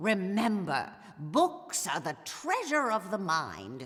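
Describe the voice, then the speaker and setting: In a put-on character voice, a woman speaks at a medium pitch with very wide pitch swings. Her pace is very slow. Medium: video game. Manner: prim, clipped, shushing.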